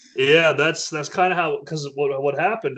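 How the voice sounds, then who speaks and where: Talking fairly quickly, a man uses ordinary pitch variation in a fairly high voice. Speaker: metalcore band vocalist. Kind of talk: casual interview. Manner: halting, repeats words.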